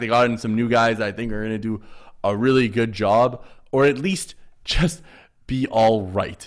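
The speaker talks at a fairly quick pace in an unremarkable speaking voice. The recording is very clean, with a silent background. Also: man. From Canada. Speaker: sports podcast host. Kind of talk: casual chat.

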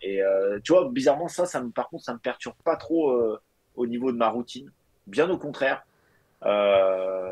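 A man at medium pitch speaks at a fairly slow pace with lively intonation and long, frequent pauses. The sound is dry and close, with no echo. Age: 30s. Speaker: fitness coach. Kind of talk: casual chat.

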